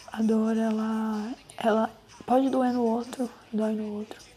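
A woman with a fairly high pitch. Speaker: podcaster. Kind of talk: personal monologue.

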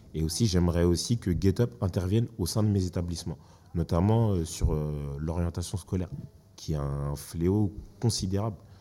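Speaking at a moderate pace with long, frequent pauses, a man uses a very deep, low pitch and a dark, mellow tone. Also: ordinary pitch variation. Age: 20s. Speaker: school education counsellor. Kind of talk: casual chat.

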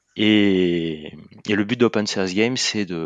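A man's fairly low voice with ordinary pitch variation, over a quiet background. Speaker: agile coach, game movement founder. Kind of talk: interview. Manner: halting, many repetitions.

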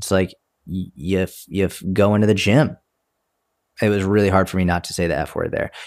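A man with a very deep, low pitch speaks at a moderate pace with fairly even intonation. Long, frequent pauses break up his speech in a very clean recording with a silent background. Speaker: fitness coach podcaster. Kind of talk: casual chat. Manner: casual, filler-heavy.

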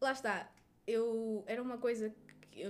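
A woman speaks at a fairly high pitch. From northern Portugal, Resende. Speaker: nurse. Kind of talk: interview.

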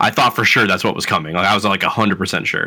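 A man with an American accent, very fast and bright, sharp in tone, on a very clean recording with a silent background. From Florida. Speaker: podcast co-host. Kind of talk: casual chat. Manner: comes across as arrogant.

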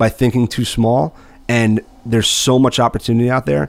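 Speaking at a fairly quick pace with an American accent, a man has a medium pitch and an ordinary speaking voice. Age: 30s. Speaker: construction business executive. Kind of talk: casual chat.

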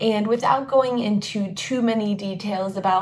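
With an American accent, a woman talks in a somewhat breathy voice with ordinary pitch variation, and audible room echo surrounds her. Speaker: podcast host. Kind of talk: personal monologue.

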